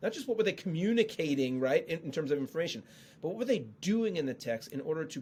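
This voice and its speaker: With a northeastern US accent, a man speaks in a dark, mellow tone at a fairly high pitch, swinging very widely up and down. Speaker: Old Testament scholar and author. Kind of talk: podcast interview about the Bible. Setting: podcast. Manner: fast.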